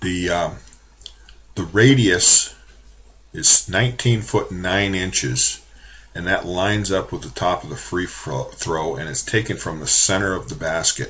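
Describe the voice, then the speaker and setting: A man's very deep, low voice with vocal fry. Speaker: college drafting instructor. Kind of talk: screen-recorded software tutorial. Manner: casual with many fillers.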